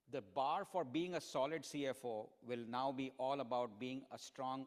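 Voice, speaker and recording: A man's medium-pitched voice with ordinary pitch variation and hardly any pauses. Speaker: keynote speaker, finance executive. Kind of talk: conference keynote with audience Q&A. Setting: stage with audience. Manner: fast.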